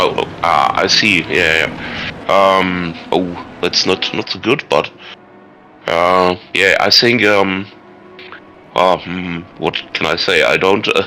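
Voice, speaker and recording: With music in the background, a man with a German accent speaks very slowly at a very deep, low pitch and with fairly even intonation. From Germany. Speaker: sim racing team manager. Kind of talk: interview. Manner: halting.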